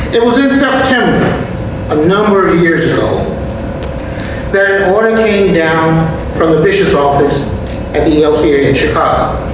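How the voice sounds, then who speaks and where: The pace is moderate, with long, frequent pauses. A man speaks amid noticeable background noise and strong room echo. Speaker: pastor. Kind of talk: sermon. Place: church. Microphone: podium.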